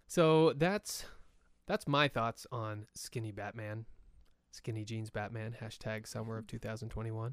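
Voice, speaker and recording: A man speaks at a medium pitch with ordinary pitch variation. He has a plain, everyday voice. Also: fairly slow pace. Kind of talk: casual chat.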